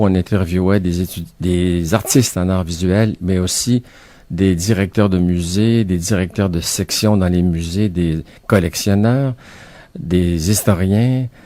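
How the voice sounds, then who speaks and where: A man's very deep, low voice with a dark, mellow tone, fairly even intonation and a very slow pace, on a very clean recording with a silent background. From Quebec City. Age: 60s. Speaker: author and retired art teacher. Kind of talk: radio interview.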